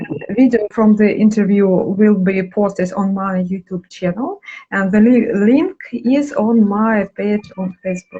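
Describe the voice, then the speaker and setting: Speaking fairly slowly with hardly any pauses, a woman has a medium pitch, ordinary pitch variation and a dark, mellow, somewhat breathy tone. The sound is dry and close, with no echo. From Russia. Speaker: dancer and interviewer. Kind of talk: interview. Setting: live video call. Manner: halting.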